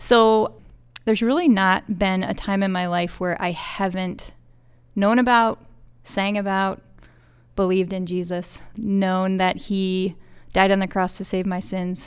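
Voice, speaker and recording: In an unremarkable speaking voice, the words come at a fairly slow pace with fairly even intonation. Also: woman, medium pitch for a woman, very clean recording, silent background. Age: 40s. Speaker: school counselor. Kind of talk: casual interview.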